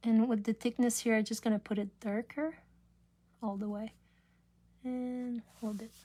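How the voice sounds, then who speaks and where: A woman's dark, mellow, somewhat breathy voice with fairly even intonation and long, frequent pauses. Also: moderate pace. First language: French. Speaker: craft demonstrator. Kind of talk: live craft tutorial. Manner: casual, halting.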